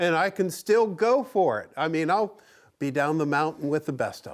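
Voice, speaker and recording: A man with a fairly high pitch speaks at a moderate pace, his intonation lively and his tone animated. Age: 60s. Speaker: woodworking TV host. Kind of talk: casual chat.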